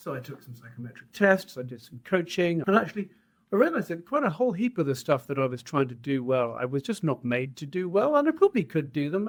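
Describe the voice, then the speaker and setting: The man's speech moves fairly quickly. He has a British accent. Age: 60s. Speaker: trade association head, entrepreneur. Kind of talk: podcast interview.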